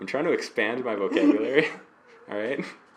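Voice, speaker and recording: Amid noticeable background noise, a man talks with a Utah accent. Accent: Utah accent, drops the T in mountain. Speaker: hobby painting video co-host. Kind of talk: casual chat. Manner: animated.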